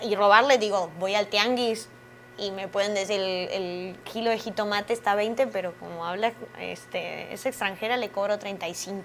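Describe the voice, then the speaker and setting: With fairly even intonation, this woman talks at a moderate pace and a medium pitch. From Argentina. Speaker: actress. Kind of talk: interview.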